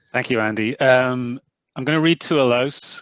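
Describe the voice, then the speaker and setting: In a very clean recording with a silent background and a dry, close sound with no echo, a man in a Dublin accent talks at a moderate pace. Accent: Dublin Irish. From Ireland, Northside Dublin. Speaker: professor.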